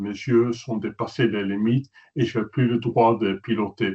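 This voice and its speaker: A man speaks at a medium pitch with fairly even intonation. His delivery is fairly slow. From Netherlands. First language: Dutch (speaking French). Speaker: journalist and photographer. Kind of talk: webinar presentation. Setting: webinar.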